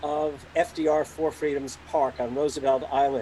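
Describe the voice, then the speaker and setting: A man in an American accent, with noticeable noise behind him. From New York City. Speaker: professor. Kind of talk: political speech. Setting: video call. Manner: loud; animated.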